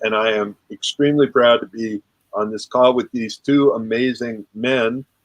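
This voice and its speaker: An ordinary speaking voice from a man, medium-pitched and fairly even in intonation, at a moderate pace, in a dry, close sound with no echo. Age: 60s. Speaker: relationship coach and author. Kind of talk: group discussion on a live call. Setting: online group call.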